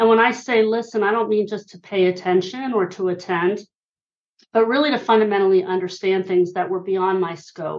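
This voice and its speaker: A woman with an American accent speaks at a fairly quick pace in a medium pitch. Her intonation stays fairly even, and she has an unremarkable speaking voice. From Pennsylvania (Hershey). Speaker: author and listening expert. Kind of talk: interview.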